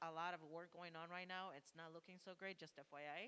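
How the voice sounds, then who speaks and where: The woman's tone is bright and sharp, with a fairly low pitch. She speaks with a non-native accent and fairly even intonation. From Texas. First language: not English. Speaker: political candidate. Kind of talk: candidate speech. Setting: church hall with audience.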